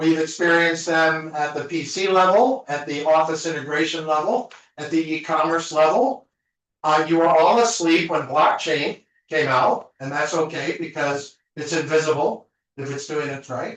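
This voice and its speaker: A man with a normal speaking voice talks at a moderate pace, fairly high in pitch, with ordinary pitch variation. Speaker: conference speaker. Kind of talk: conference talk.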